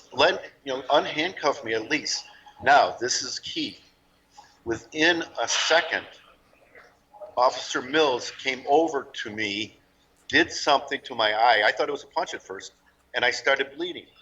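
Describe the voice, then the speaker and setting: A man talks at a fairly high pitch with ordinary pitch variation, big swings in loudness and long, frequent pauses. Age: 60s. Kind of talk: interview testimony.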